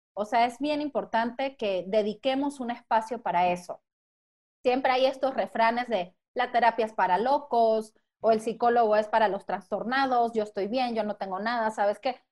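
A woman's fairly high voice, moderate in pace, with fairly even intonation. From Mexico, raised partly abroad in a Venezuelan-Italian family. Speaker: holistic therapist and life coach. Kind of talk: interview conversation.

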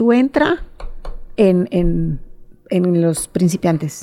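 A woman speaks with a Mexican accent. Her pace is very slow. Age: 60s. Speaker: amateur cyclist. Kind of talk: interview.

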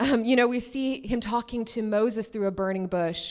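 A woman with a normal speaking voice talks at a fairly quick pace. Her intonation stays fairly even. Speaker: preacher. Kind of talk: sermon. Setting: church with congregation.

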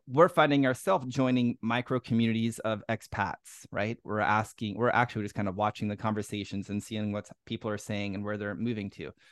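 Here is a man with an unremarkable speaking voice at a medium pitch. He talks at a fairly quick pace with hardly any pauses and ordinary pitch variation. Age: 30s. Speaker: online community coach. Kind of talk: podcast interview.

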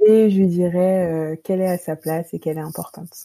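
The woman's voice is fairly low in pitch, dark and mellow in tone, with fairly even intonation. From Île-de-France, of French Antillean family. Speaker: teacher. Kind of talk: interview conversation.

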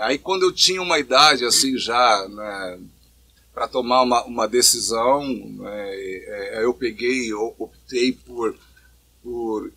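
A man delivers his words very slowly, keeping to a mid-range pitch that varies in the usual way. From São Paulo state, Brazil (São Bernardo do Campo). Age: 40s. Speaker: pastor. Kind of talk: casual interview.

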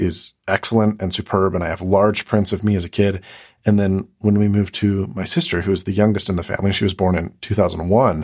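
On a very clean recording with a silent background, a man with a fairly low voice talks at a fairly quick pace in a monotone, flat intonation. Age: 20s. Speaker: YouTuber. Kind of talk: casual chat.

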